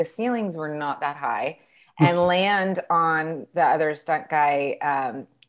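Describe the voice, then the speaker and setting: Over a quiet background, a woman with a fairly low pitch speaks at a fairly slow pace with ordinary pitch variation. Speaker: interview guest. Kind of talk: interview answer. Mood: animated, laughing storytelling. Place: home room. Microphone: earbuds.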